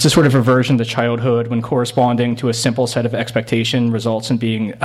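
A man talks very fast at a medium pitch. Noticeable background noise sits behind him. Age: 30s. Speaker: novelist. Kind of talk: reading aloud. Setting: stage with audience. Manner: animated.

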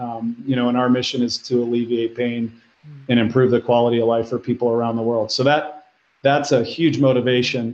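A man with a Midwestern American accent, medium pitch, monotone, flat intonation and a moderate pace. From Ohio, Cleveland. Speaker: medical technology executive. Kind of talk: interview. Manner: halting, many fillers.

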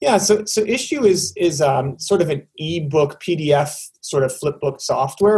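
Here is a man with a Canadian accent. His voice is somewhat breathy. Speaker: tech company guest, former advertising founder. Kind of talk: casual interview chat. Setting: video call.

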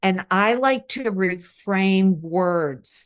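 This woman talks at a very slow pace with a medium pitch and an Upstate New York accent. Her pitch varies in an ordinary way over a quiet background. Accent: Upstate New York American. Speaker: resilience researcher and author. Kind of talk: interview.

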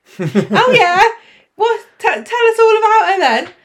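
Squeaky and extremely high in pitch, a woman performs a put-on character voice. Her delivery is fairly slow. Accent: Cockney.

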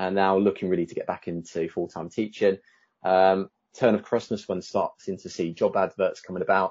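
This man speaks with an English accent at a fairly low pitch. His pace is fairly quick. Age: 30s. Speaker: teacher. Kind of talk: interview. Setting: video call.

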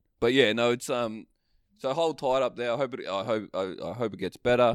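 The recording is very clean with a silent background. A man talks at a medium pitch. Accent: Australian. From northern Australia. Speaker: podcast co-host. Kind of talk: casual chat. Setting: video recording.

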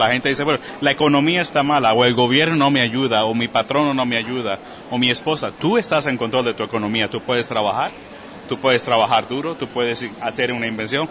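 A man speaks fairly quickly while noticeable background noise plays behind him. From Puerto Rico, Caguas. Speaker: personal finance coach and author. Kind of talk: interview conversation. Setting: podcast conference in Texas.

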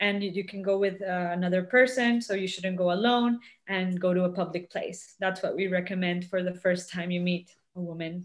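This woman has a normal speaking voice at a medium pitch. She speaks at a moderate pace with fairly even intonation. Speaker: guest speaker, outreach worker. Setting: video call.

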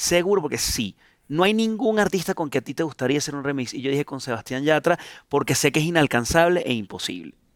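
A man with a Venezuelan accent, fairly high-pitched for a man, lively intonation, a very fast pace, and a dry, close sound with no echo. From Venezuela, Caracas. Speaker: singer-songwriter. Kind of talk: casual chat. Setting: studio.

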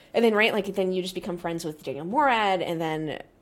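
In an animated tone with an American accent, a woman speaks at a fairly quick pace and medium pitch, with ordinary pitch variation. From US. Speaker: Twitch streamer and sim racing commentator. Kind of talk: casual chat.

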